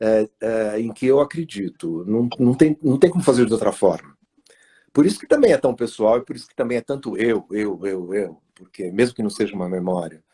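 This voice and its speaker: A man's medium-pitched, dark, mellow voice at a moderate pace, with lively intonation, big swings in loudness, and a dry, close sound with no echo. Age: 60s. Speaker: author. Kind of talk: interview. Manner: halting, many fillers.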